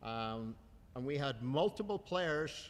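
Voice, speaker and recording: A man with an Irish accent speaks at a medium pitch. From Ireland. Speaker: youth soccer coach. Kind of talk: award ceremony speech.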